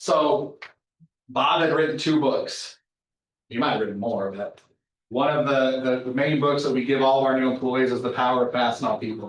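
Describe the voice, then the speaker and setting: A man with a plain, everyday voice speaks at a medium pitch and a moderate pace, with ordinary pitch variation. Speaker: company manager speaking to a college class. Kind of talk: guest lecture to a class.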